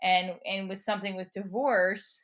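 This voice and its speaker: With a New Jersey accent, a woman speaks in an energetic tone with ordinary pitch variation. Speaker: comedian, performer, educator. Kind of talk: interview answer.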